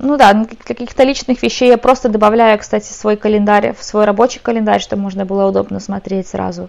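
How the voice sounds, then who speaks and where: In a plain, everyday voice, a woman speaks at a moderate pace with a fairly high pitch. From Ukraine, moved to Ireland as a teen. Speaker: tech company support specialist. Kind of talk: casual chat.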